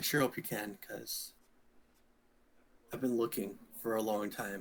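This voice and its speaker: A man uses a raspy, put-on character voice at a medium pitch. His pace is moderate and his intonation monotone and flat. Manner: sad, pleading.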